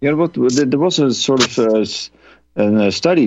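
A man with a normal speaking voice, ordinary pitch variation and a moderate pace, over a quiet background. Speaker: whistleblower, former pilot. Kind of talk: interview.

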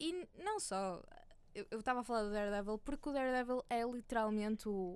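A woman's fairly high-pitched voice, an ordinary speaking voice with ordinary pitch variation. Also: moderate pace. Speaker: screenwriter and podcaster. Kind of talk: casual chat.

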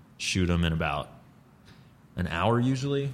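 A man with an American accent at a moderate pace. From US South, Atlanta, Georgia. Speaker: improv comedian. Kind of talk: casual interview.

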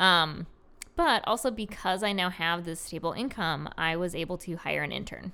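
An American woman with a fairly low pitch speaks at a moderate pace, her tone bright and sharp with vocal fry. Her pitch varies in an ordinary way, and the recording is very clean with a silent background. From Rochester, New York. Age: 30s. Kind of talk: casual interview. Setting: in person, drinking beer.

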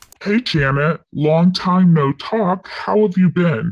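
A put-on character voice at a middle pitch, fairly slow in pace. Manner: entitled, bossy.

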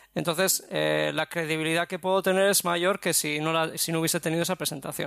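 Recorded very cleanly against a silent background, a man speaks in a high pitch at a fairly quick pace with monotone, flat intonation. His tone is bright and sharp, and the sound is dry and close with no echo. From Basque Country, Spain. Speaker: graphic designer and business owner. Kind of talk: interview.

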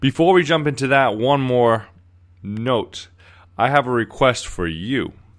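A man's ordinary speaking voice at medium pitch, fairly slow, with lively intonation, on a very clean recording with a silent background. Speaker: podcast host. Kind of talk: casual interview chat. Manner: upbeat, friendly.

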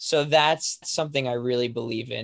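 A man uses an ordinary speaking voice with a medium pitch, fairly even intonation and a fairly quick pace. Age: young. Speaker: author and speaker. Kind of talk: interview.

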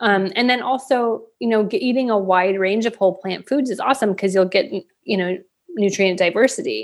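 Moving at a fairly quick pace, a woman of medium pitch talks in an unremarkable speaking voice with ordinary pitch variation. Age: 40s. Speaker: plant-based meal plan business co-founder. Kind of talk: casual interview chat. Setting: podcast interview.

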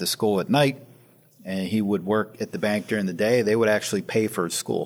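A man speaks in a plain, everyday voice with an American accent. His pitch sits fairly low, and his pace is fairly quick. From Western Pennsylvania (Sharon). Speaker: private equity founder. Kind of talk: interview. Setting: office.

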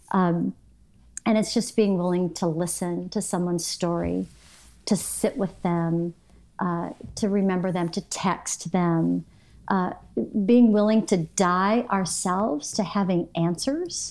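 A woman with an ordinary speaking voice and an American accent talks at a fairly slow pace, with a fairly low pitch and fairly even intonation. The recording is very clean, with a silent background. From US Midwest, Michigan. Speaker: women's ministry speaker. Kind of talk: interview.

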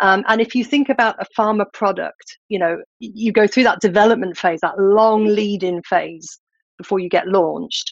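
Speaking with a British accent, a woman uses ordinary pitch variation. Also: medium pitch for a woman, moderate pace, dry, close sound with no echo. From UK. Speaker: scientific writer. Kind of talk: interview.

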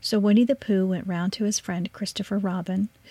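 The speaker reads in a natural reading voice whose intonation stays fairly even.

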